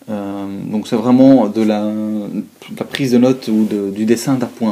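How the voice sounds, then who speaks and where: Amid noticeable background noise, a man speaks with a Belgian accent at a fairly low pitch and fairly even intonation. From Belgium. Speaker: student. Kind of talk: product review talk to camera. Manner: hesitant, many fillers.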